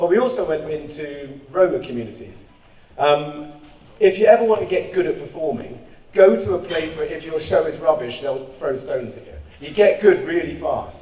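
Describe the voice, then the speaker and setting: Amid noticeable background noise, a man with an English accent and a high pitch speaks with lively intonation and big swings in loudness. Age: 40s. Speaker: clown and charity founder. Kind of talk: conference speech. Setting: stage with audience. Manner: fast; energetic, loud.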